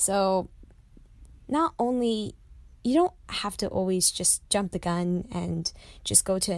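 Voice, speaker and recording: A woman speaks with an American accent at a fairly slow pace. The recording is very clean, with a silent background. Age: young. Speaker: language learner, university student. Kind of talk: interview.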